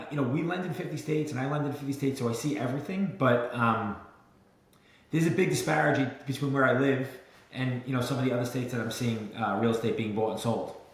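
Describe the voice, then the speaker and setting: With a New York accent, a man talks very fast at a medium pitch with ordinary pitch variation, amid noticeable background noise and audible room echo. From Brooklyn, New York. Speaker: mortgage lender and real estate entrepreneur. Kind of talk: podcast interview. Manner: hesitant, many fillers.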